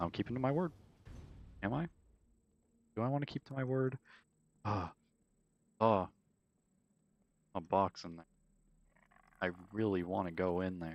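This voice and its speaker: Soft-spoken and fairly low-pitched, a man talks at a moderate pace with lively intonation and long, frequent pauses. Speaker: gaming streamer. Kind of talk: live gameplay commentary.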